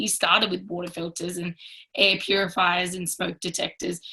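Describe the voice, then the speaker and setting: A woman talks at a medium pitch. Her tone is bright and sharp. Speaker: network marketing team leader. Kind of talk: training talk on a group call. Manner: fast.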